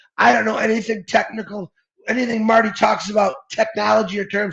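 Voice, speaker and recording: The speaker is a man with a high pitch. He talks at a fairly quick pace in an animated tone. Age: 50s. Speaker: network marketing promoter. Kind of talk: motivational pitch on a livestream.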